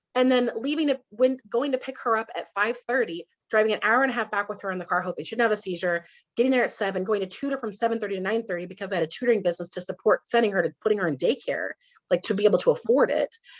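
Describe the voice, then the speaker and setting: A woman at a fairly high pitch and a very fast pace, in a dry, close sound with no echo. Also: ordinary pitch variation, quiet background. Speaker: Amazon brand consultant. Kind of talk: interview.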